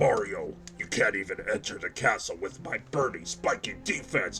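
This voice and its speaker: Against clear background noise, a man does a put-on character voice at a moderate pace. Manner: evil, menacing.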